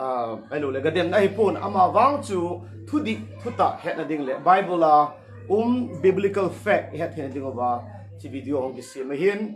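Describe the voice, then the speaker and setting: A man speaks at a moderate pace in a Northeast Indian accent, his pitch swinging very widely and his loudness rising and falling a lot. Music plays behind him, and the room echo is audible. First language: Thadou-Kuki. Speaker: pastor. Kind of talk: sermon. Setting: livestream. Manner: halting.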